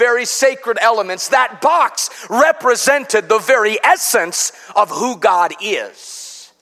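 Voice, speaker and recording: In an American accent, a man speaks in a raised, projected voice. His tone is playful and animated, with lively intonation. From US Midwest, Chicago. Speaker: pastor. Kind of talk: revival sermon at an evening youth service, building toward an exhortation. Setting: church with live congregation. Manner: playful asides and call-and-response with the congregation; animated, rhythmic preaching with rising rhetorical questions.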